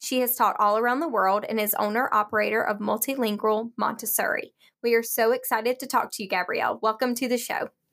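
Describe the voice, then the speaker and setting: A woman talks at a very fast pace with hardly any pauses, using a fairly high pitch and fairly even intonation. The recording is very clean with a silent background. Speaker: podcast co-host. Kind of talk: scripted intro and interview.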